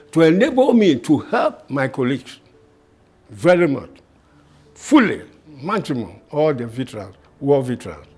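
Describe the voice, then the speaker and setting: With music in the background, a man speaks at a fairly high pitch and moderate pace, with very wide pitch swings and long, frequent pauses. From Ghana. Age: 80s+. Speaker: war veteran. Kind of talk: testimony.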